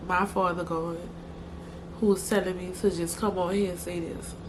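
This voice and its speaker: A woman speaks in a New Orleans accent. Her intonation is monotone and flat. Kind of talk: casual talk to camera.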